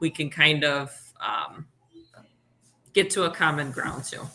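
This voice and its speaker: A loud woman's voice. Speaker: teacher. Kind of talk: casual chat. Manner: animated.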